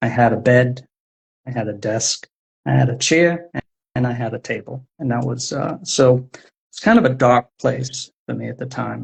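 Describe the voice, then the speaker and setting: Speaking at medium pitch with an American accent, the man sounds somewhat breathy and keeps his intonation fairly even. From US Northeast, Providence, Rhode Island. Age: 60s. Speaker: poet and author. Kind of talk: interview conversation. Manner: halting.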